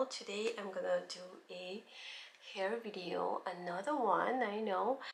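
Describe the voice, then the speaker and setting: The pace is fairly slow, with ordinary pitch variation. Background noise is noticeable. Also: woman, medium pitch for a woman. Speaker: hair tutorial vlogger. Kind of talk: casual tutorial talk to camera.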